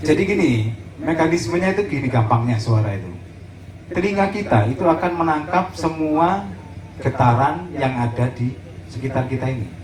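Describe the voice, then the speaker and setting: Heard with audible room echo and noticeable background noise, a man talks at a moderate pace, his pitch swinging very widely. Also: medium pitch for a man. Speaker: sound system operator teaching a workshop. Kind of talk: workshop lecture. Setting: community gathering, outdoor field with audience. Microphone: poor recorded sound quality.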